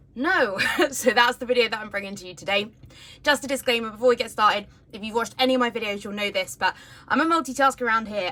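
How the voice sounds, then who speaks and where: The speaker is a woman. She has a British accent. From United Kingdom. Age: 30s. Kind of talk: casual talk to camera. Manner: chatty.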